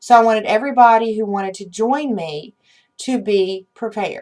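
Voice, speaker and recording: Here is a plain, everyday voice with ordinary pitch variation. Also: woman. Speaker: witchcraft channel host. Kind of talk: unscripted instructional talk to viewers.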